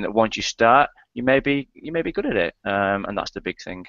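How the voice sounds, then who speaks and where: A man with a British accent talks at a fairly quick pace and a medium pitch. His intonation is lively. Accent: UK. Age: 30s. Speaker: affiliate marketer, product creator. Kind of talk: interview. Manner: straight-talking, plain.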